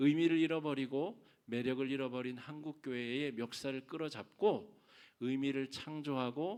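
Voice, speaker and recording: A man talks at a fairly high pitch and a fairly slow pace. His pitch varies in an ordinary way. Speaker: pastor. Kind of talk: sermon. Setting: church.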